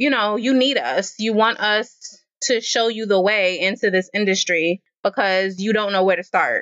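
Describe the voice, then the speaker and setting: A woman with an American accent has a normal speaking voice. Her pitch is fairly high and her intonation fairly even. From Queens, New York. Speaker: animation nonprofit co-founder and publicist. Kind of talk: interview.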